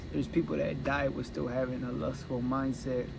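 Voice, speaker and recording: The speaker moves at a fairly quick pace with fairly even intonation. Room echo is audible. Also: man. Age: 20s. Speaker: vlogger documenting self-improvement. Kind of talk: personal confessional monologue. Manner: halting, self-correcting.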